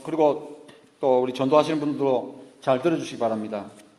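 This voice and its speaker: There's audible room echo as a man talks at a fairly quick pace. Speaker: pastor. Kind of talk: sermon. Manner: animated.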